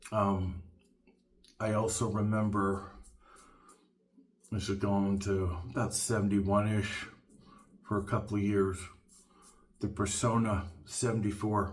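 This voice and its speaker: Speaking at a fairly slow pace with long, frequent pauses, a man uses a fairly low, somewhat breathy voice with monotone, flat intonation and very even loudness, and audible room echo surrounds him. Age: 60s. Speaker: shaving video reviewer. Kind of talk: casual tutorial monologue. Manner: halting, many fillers.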